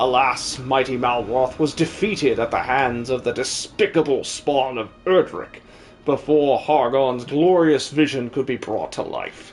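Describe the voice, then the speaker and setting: A man uses a put-on character voice at a medium pitch, with clear music playing in the background. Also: moderate pace. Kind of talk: live-stream game dub. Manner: grandiose, theatrical.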